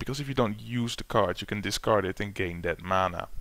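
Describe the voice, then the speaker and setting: A man with a non-native accent and a bright, sharp tone, fairly low in pitch with ordinary pitch variation, on a very clean recording with a silent background. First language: not English. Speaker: gaming YouTuber. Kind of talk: gameplay tutorial. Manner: hesitant, many fillers.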